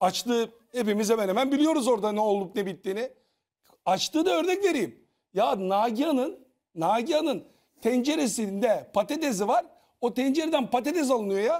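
Against a quiet background, a man with an extremely high pitch talks at a moderate pace, his intonation lively and his loudness very even. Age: 50s. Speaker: TV panelist, former reality show contestant; TV panel commentator. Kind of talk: casual panel discussion. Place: studio.

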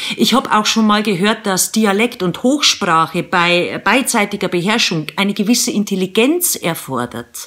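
Over a quiet background, a woman speaks with a Bavarian accent. Her pace is fairly slow and her intonation lively. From Eastern Bavaria. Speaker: radio presenter and mom vlogger. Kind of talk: humorous vlog monologue to camera. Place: home room. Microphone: phone near.

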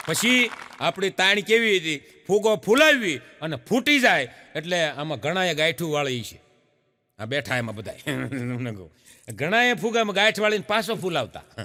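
Music plays in the background as a man speaks in a high voice. His pitch swings very widely and his loudness rises and falls in big swings. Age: 50s. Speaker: comedian. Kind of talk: stand-up.

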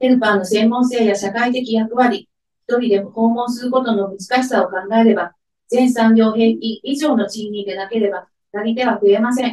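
Amid a quiet background and audible room echo, a woman speaks with a fairly high pitch and fairly even intonation. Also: moderate pace. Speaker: head of care division at a welfare organization. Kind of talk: press conference statement. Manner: formal. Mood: earnest, measured protest tone. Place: meeting room.

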